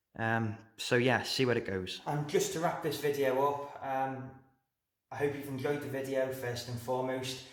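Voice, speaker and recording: A man's monotone, flat intonation with audible room echo. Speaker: model railway hobbyist YouTuber. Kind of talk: casual video update. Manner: hesitant, many fillers.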